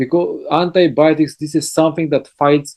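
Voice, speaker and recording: This man has a dark, mellow tone. He speaks with a Bulgarian accent. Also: dry, close sound with no echo. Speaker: health lecturer. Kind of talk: lecture. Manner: halting.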